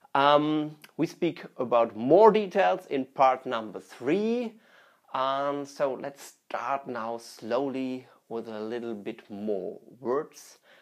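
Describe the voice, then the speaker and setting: Someone with a German accent speaks at a very slow pace against a quiet background. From Germany. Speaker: language teacher. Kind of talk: tutorial. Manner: halting, many fillers.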